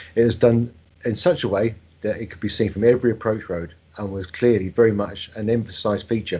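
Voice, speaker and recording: A man with a southern English accent, fairly low in pitch, very fast in pace, with ordinary pitch variation. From Buckinghamshire, England (London family). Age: 50s. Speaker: bus company managing director and transport enthusiast. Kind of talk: presentation. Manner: formal.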